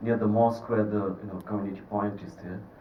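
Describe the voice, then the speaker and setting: The man's pitch is fairly low. Audible room echo surrounds his voice. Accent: Bengali. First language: Bengali. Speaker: film director. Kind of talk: festival Q&A. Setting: cinema with audience.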